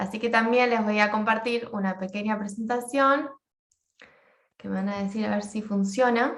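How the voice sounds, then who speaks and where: Fairly even in intonation, an ordinary speaking voice proceeds at a moderate speed. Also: woman, fairly high pitch for a woman. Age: 20s. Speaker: social work graduate student. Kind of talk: class presentation.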